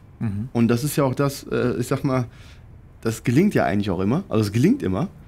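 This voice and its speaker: Dark and mellow in tone, a man's medium-pitched voice shows ordinary pitch variation. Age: 40s. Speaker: air traffic controller. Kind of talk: podcast interview answer. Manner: casual, hesitant.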